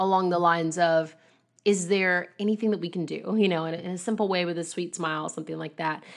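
At a moderate pace and medium pitch, a woman speaks with ordinary pitch variation in an ordinary speaking voice against a quiet background. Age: 20s. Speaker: singer and podcast host. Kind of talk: solo podcast Q and A. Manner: casual, with frequent laughs and fillers.

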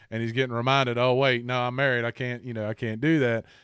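With an unremarkable speaking voice, a man of medium pitch speaks in fairly even intonation, and the recording is very clean with a silent background. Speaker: podcast host. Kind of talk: casual chat.

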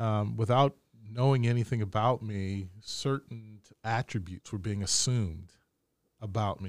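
An American-accented man speaks at a moderate pace. The sound is dry and close with no echo, on a very clean recording with a silent background. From Baltimore, US. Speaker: university administrator, Navy veteran. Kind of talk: interview conversation. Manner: measured, modulates voice.

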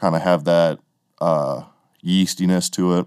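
On a very clean recording with a silent background, a man speaks with a very deep, low pitch and an American accent. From Wisconsin. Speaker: podcast host, drummer. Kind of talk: casual chat.

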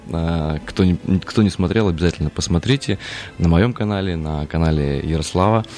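Over noticeable background noise, a man speaks at a moderate pace in a very deep, low pitch with ordinary pitch variation. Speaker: singer and composer. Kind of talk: radio interview. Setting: studio.

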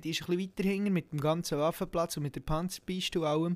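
Pitch variation is ordinary as the words come out at a very fast pace. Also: man. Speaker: podcast co-host, military recruit. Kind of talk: casual chat.

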